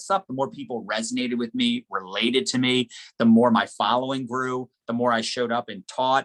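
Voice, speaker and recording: An animated man's voice at medium pitch, with a dry, close sound and no echo. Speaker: network marketing trainer. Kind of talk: motivational training talk. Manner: fast.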